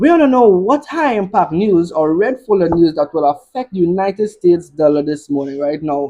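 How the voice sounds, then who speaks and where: The delivery is animated and fairly quick. Hardly any pauses break it up. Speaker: forex trading educator. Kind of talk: live trading tutorial. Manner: fast, excitable.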